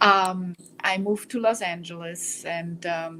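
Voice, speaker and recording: This woman has a German accent and a bright, sharp tone. Her intonation stays monotone and flat. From Germany. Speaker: trucker and breast cancer survivor. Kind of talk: interview.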